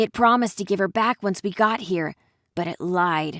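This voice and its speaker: A woman growls in a put-on character voice at a medium pitch and moderate pace. The recording is very clean with a silent background and a dry, close sound with no echo. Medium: actual play.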